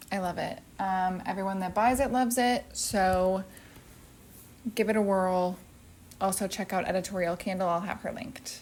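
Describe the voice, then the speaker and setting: A soft-spoken woman at a medium pitch and moderate pace, with fairly even intonation and long, frequent pauses. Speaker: home decor youtuber. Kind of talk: casual product haul chat. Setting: at home.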